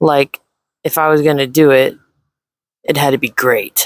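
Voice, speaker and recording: The speaker is soft-spoken and talks at a fairly slow pace. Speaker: video creator. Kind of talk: personal reflection.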